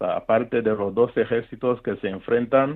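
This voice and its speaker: A man speaks at a fairly slow pace with fairly even intonation. He has an ordinary speaking voice. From Rwanda, north of Kigali. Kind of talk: interview testimony.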